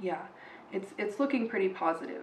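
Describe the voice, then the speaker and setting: Fairly quick speech with audible room echo and noticeable background noise. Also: woman. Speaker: tarot card reader. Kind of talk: tarot reading monologue. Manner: hesitant, many fillers and repetitions.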